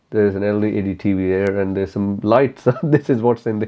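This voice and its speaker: The speaker has a non-native accent and a fairly quick pace. Pitch variation is ordinary. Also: man. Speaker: motorcycle track day rider and YouTuber. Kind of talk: casual Q&A talk to camera. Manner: relaxed, laid back. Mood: relaxed, candid, light humor. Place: home room.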